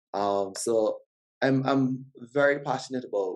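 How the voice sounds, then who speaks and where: A man speaks with a strong Barbadian accent. His pitch varies in an ordinary way. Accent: Barbadian, noted by himself as strong. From Barbados. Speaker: podcast guest, father. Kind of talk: casual interview chat.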